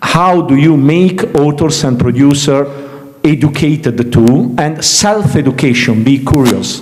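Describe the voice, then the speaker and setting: Over noticeable background noise and audible room echo, a man with an Italian accent speaks at a fairly slow pace. His fairly high voice has ordinary pitch variation and very even loudness. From Italy. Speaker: series development professional, panel speaker. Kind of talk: panel Q&A discussion. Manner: halting, repeats words.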